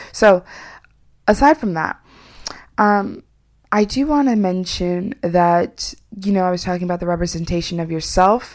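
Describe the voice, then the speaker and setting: A woman speaks at a medium pitch and a moderate pace. She leaves long, frequent pauses. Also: ordinary pitch variation. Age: 20s. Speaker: podcast host. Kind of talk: solo motivational monologue.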